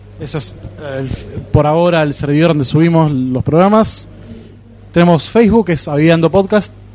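Noticeable background noise surrounds a man's voice. He speaks at a fairly high pitch with ordinary pitch variation. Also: moderate pace. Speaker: podcast co-host. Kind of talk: casual chat. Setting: live podcast festival table.

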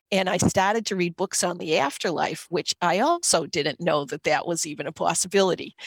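With a Boston accent, a woman speaks at a fairly low pitch in a dry, close, echo-free recording that is very clean, with a silent background. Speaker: occupational therapist and Reiki teacher. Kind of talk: interview storytelling. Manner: animated.

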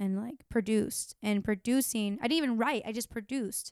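A woman with an American accent talks at a fairly quick pace in a fairly high pitch. The sound is dry and close with no echo, in a very clean recording with a silent background. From Florida, Tampa. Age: 20s. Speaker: musician. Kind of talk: casual chat. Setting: home.

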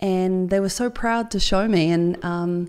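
With a New Zealand accent, a woman speaks at a medium pitch with fairly even intonation. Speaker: marathon open water swimmer. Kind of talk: interview conversation.

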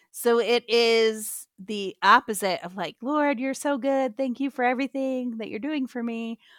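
A woman with an American accent and a plain, everyday voice, fairly high in pitch, fairly slow and with hardly any pauses, on a very clean recording with a silent background. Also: ordinary pitch variation, dry, close sound with no echo. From US Midwest. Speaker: pastor and author. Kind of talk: interview.

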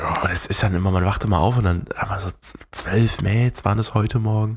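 This man has a fairly low pitch and a somewhat breathy voice. His intonation stays fairly even. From Germany, near Berlin. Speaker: podcast co-host. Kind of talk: casual chat.

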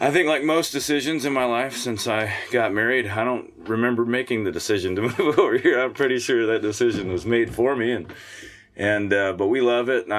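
A man's normal speaking voice with an American accent, medium pitch, ordinary pitch variation and a fairly quick pace. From US Midwest, Missouri. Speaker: singer-songwriter and muralist. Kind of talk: casual interview. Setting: camper studio.

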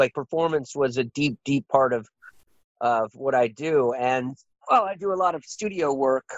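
This man has an unremarkable speaking voice with an American accent and a fairly high pitch. He moves at a moderate pace with ordinary pitch variation. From rural northeast Washington State. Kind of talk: interview. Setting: remote call.

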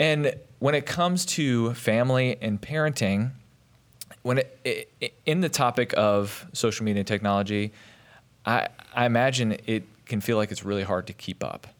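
A plain, everyday voice, with ordinary pitch variation, moves at a moderate pace in a very clean recording with a silent background. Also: man, medium pitch for a man. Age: 30s. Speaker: church parenting podcast host. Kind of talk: podcast interview. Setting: studio.

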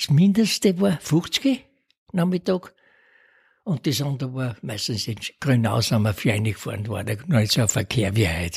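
A man speaks at a medium pitch with a somewhat breathy voice and very wide pitch swings. The recording is very clean, the background silent. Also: moderate pace. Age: 80s+. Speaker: retired amateur cyclist. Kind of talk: interview. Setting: home kitchen.

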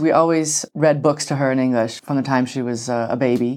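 A woman with an American accent, very deep and low in pitch, at a moderate pace against a quiet background. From United States. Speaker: parent. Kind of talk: casual chat.

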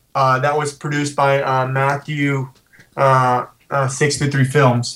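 A somewhat breathy man talks with an American accent. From West Virginia. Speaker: actor. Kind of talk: interview.

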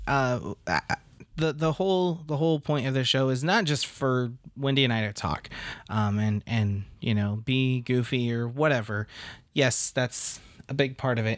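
A man talks in a plain, everyday voice at a medium pitch. His pace is moderate and his pitch varies in an ordinary way. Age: 30s. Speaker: podcast host. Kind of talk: casual chat.

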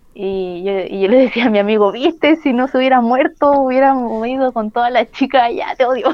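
A woman with a Chilean accent speaks at a fairly quick pace in a high voice, with ordinary pitch variation. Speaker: professional wrestler. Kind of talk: interview.

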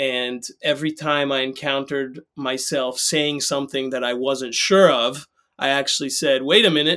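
With an American accent and an unremarkable speaking voice, a man talks at a moderate pace in a fairly high pitch with fairly even intonation, on a very clean recording with a silent background. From Israel and US, grew up in both. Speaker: activist, writer and neuroscientist. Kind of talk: interview conversation.

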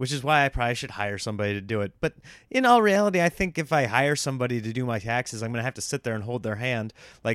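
A man speaks at a medium pitch with an animated tone and lively intonation, the sound dry and close with no echo on a very clean recording against a silent background. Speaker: stand-up comedian hosting own podcast. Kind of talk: casual solo monologue. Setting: home recording setup. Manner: staccato delivery.

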